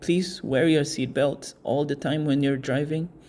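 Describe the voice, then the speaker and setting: A man with a non-native accent talks at a fairly slow pace, with vocal fry and a dark, mellow tone. The recording is very clean, with a silent background. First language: not English. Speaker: product reviewer. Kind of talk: product review. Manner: casual, hesitant.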